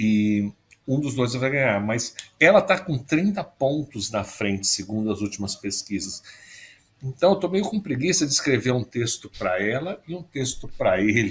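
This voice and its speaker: A man talks in a somewhat breathy voice. His pitch swings very widely. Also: medium pitch for a man, moderate pace. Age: 50s. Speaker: foreign correspondent journalist. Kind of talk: casual chat.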